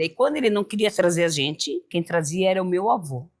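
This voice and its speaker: At a moderate pace, a woman uses an ordinary speaking voice, fairly low in pitch with ordinary pitch variation. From southern Brazil, Joinville, Santa Catarina. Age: 50s. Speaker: samba dancer, club member. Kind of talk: group interview.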